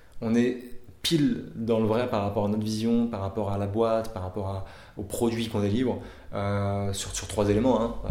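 Over audible room echo, a man delivers his words at a moderate pace in a fairly low, dark, mellow voice with monotone, flat intonation. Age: 30s. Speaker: startup founder. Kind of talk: interview. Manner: halting, many fillers.

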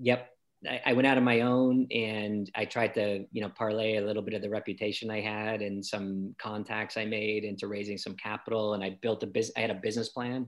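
With a Boston accent, a man talks at a fairly low pitch and fairly quick pace, in a monotone, flat intonation with hardly any pauses. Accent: American, Boston area. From Boston, US. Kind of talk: casual interview chat.

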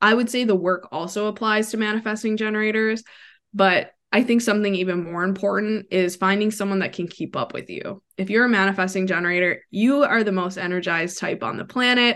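With an unremarkable speaking voice, a woman talks at a medium pitch. Her intonation is fairly even, and the background is quiet. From US Midwest, Wisconsin. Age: 30s. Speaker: human design coach. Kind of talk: interview.

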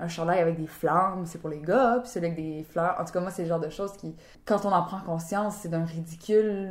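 A woman speaks with fairly even intonation at a fairly low pitch. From Ottawa-Gatineau region, Canada. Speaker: actress. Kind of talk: interview. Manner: halting, many fillers and repetitions.

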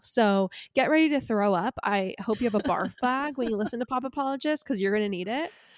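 A woman with a Californian accent talks at a fairly quick pace in a fairly high pitch. Her pitch varies in an ordinary way, and the recording is very clean with a silent background. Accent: Californian American English. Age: 30s. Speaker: podcast co-host. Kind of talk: casual chat.

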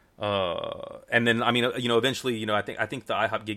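Delivered at a very fast pace, this voice has a bright, sharp tone and an American accent. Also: man. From Houston, Texas. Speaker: magician guest. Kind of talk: casual interview, storytelling. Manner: relaxed, rambling, filler words.

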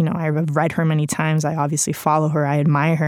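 A woman with a Spanish accent, very deep and low in pitch, flat and monotone in intonation, on a very clean recording with a silent background. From Spain. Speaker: journalist and author. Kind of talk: reading aloud from own book; casual reflective talk. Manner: conversational with fillers.

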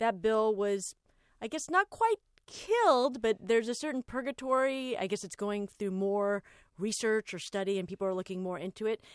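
A woman with an American accent speaks in a normal speaking voice at a fairly high pitch and a moderate pace, dry and close with no echo against a quiet background. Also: ordinary pitch variation. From Los Angeles. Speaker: podcast host. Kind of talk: casual chat.

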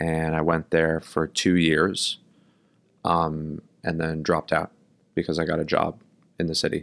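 A man with an American accent speaks at a fairly slow pace in a very deep, low voice, with a flat, monotone delivery and long, frequent pauses. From Brooklyn, New York. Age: 20s. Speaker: stage actor. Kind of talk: casual interview.

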